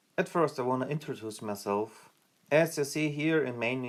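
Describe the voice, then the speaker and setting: A man talks with a German accent and ordinary pitch variation. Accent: German accent, non-native English. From Germany. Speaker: gaming youtuber. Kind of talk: tutorial. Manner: halting, with fillers and restarts.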